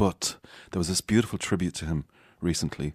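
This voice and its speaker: A man talks at a moderate pace with an Irish accent. The sound is dry and close, with no echo. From Ireland, Galway. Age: 50s. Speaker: singer-songwriter. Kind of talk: casual chat. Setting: studio.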